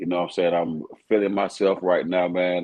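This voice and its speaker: A man speaks in a Southern US accent. His intonation stays monotone and flat. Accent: Southern drawl. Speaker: rapper. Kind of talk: casual interview chat.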